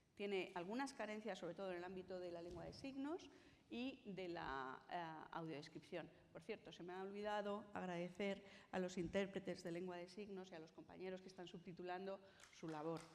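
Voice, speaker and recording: Audible room echo surrounds a woman speaking at a moderate pace, her medium pitch showing ordinary variation. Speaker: conference panelist on cultural accessibility. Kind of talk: conference talk. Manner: tries to articulate clearly.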